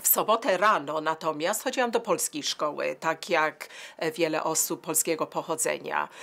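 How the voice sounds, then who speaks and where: This woman's voice sits fairly low in pitch, with a bright, sharp tone, ordinary pitch variation and very even loudness. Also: moderate pace. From England, Manchester; England. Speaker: interviewee, daughter of war refugees; interviewee. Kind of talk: oral history interview; interview answer. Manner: halting, many repetitions. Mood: calm, reflective recollection. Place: home room.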